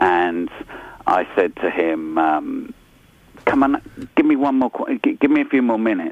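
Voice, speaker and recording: There is noticeable background noise as a man speaks. His pace is fairly slow, with long, frequent pauses. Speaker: radio presenter. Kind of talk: casual chat.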